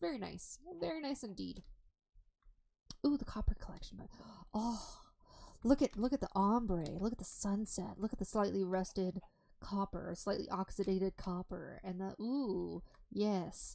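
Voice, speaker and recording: A woman's dark, mellow voice with lively intonation, a fairly slow pace and long, frequent pauses. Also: medium pitch for a woman. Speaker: live streamer. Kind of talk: casual gaming livestream chat. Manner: animated.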